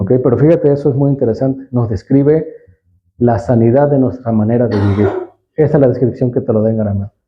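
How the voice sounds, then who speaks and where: Somewhat breathy and at a medium pitch, a man talks at a fairly quick pace with ordinary pitch variation and very even loudness. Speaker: Bible language teacher. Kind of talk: teaching talk.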